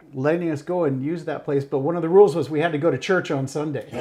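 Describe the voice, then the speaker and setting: A man with an ordinary speaking voice talks at a fairly quick pace. His pitch is fairly high and his intonation fairly even. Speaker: podcast co-host. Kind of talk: podcast interview, casual talk.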